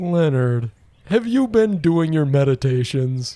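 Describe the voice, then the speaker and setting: At a fairly slow pace, the man adopts a put-on character voice pitched fairly high. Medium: audio drama. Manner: calm, gentle.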